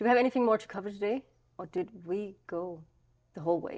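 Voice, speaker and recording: A woman speaks in a Danish accent. Her pitch is medium. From Denmark, Copenhagen. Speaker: podcast co-host. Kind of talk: casual chat. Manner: stumbling over words.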